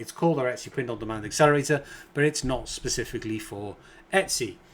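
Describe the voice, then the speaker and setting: With a British accent, a man speaks at a fairly high pitch. His intonation is lively. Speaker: online business coach. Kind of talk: tutorial.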